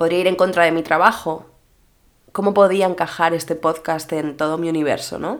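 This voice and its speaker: Speaking at a moderate pace with a fairly low pitch, a woman has a normal speaking voice on a very clean recording with a silent background. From Mallorca, Spain. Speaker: social media influencer and podcaster. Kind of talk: solo podcast monologue. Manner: casual, chatty.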